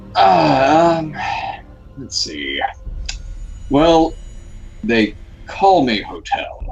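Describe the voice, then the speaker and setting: A put-on character voice at a very slow pace, with long, frequent pauses over clear background noise. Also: man. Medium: actual play. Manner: hesitant, deliberate.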